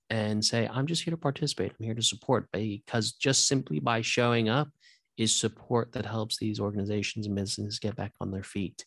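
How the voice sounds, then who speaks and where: A normal speaking voice: a man with an American accent talks at a fairly quick pace and medium pitch with ordinary pitch variation, the sound dry and close with no echo against a quiet background. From US West Coast, Santa Monica. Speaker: yoga teacher and author. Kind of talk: interview conversation.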